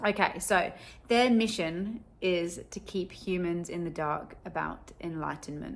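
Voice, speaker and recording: A woman speaks with an English accent at a fairly low pitch. Her pitch variation is ordinary. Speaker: spiritual content creator. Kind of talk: casual video monologue. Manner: casual, chatty.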